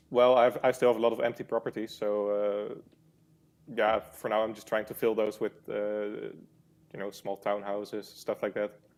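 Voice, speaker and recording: Long, frequent pauses break up speech in a Dutch accent. The intonation is monotone and flat, while loudness swings widely. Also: man, fairly low pitch for a man, moderate pace. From Netherlands. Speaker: game player, interview guest. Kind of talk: interview.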